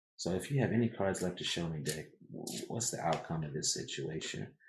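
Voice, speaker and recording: A man speaks softly. His pace is moderate. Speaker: tarot reader. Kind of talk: tarot reading. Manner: soft-spoken. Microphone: too quiet, turning mic up.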